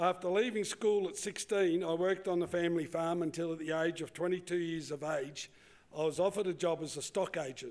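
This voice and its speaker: A man with an Australian accent speaks at a high pitch. His pace is fairly quick. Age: 70s. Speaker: cattle farmer. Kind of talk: conference presentation. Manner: halting.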